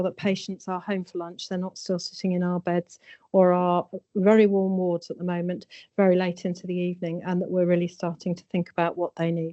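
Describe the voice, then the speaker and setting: A soft-spoken woman's medium-pitched voice at a fairly quick pace. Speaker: hospital chief executive with nursing background. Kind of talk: formal presentation. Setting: meeting room with audience. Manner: hesitant, frequent fillers.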